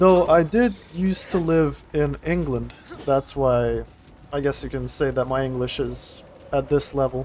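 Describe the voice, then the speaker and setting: This man talks at a fairly slow pace and a fairly high pitch, with ordinary pitch variation and noticeable background noise. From Estonia. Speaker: gaming streamer. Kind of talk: live gameplay commentary. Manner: casual, thinking aloud.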